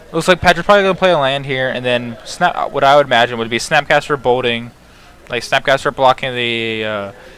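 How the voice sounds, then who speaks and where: Fairly quick speech from a man, ordinary pitch variation, noticeable background noise. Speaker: game commentator. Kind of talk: live commentary. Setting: livestream. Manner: mumbling; halting.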